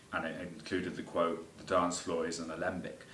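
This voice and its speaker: A man talks in a very deep, low voice. The recording has audible room echo and noticeable background noise. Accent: English. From England. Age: 20s. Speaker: composer. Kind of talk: self-presentation of a music piece. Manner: hesitant, many fillers.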